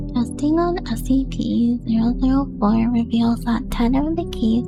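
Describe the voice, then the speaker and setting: A soft-spoken woman, with audible room echo. Music plays in the background. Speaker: narrator. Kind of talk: reading aloud.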